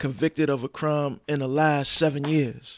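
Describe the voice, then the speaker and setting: A man with a plain, everyday voice speaks at a fairly high pitch with fairly even intonation. The recording is very clean and dry, close and without echo, against a silent background. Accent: American. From Brooklyn, New York (Brownsville, East New York). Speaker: social worker, formerly incarcerated father. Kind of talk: casual chat.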